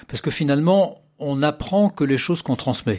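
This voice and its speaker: The recording is very clean, with a silent background. A man speaks in a fairly high voice. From Paris, France. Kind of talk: radio interview. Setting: studio.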